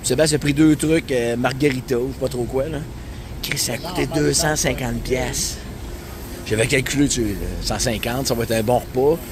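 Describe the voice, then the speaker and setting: A man with a Quebec accent and medium pitch, at a moderate pace with long, frequent pauses, over noticeable background noise. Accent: Québécois French. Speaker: travel vlogger. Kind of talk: casual vlog narration. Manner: animated.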